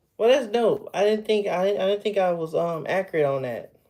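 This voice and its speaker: Lively intonation marks a man's high-pitched voice with a slight Southern US accent. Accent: slight Southern drawl. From Texas. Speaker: livestreamer. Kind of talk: casual chat. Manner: casual, halting with fillers.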